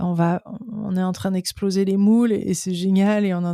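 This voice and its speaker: On a very clean recording with a silent background, a woman of medium pitch speaks fairly slowly in a dark, mellow tone with monotone, flat intonation and a dry, close sound with no echo. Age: 40s. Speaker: personal development youtuber. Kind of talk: casual interview chat. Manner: halting, many repetitions.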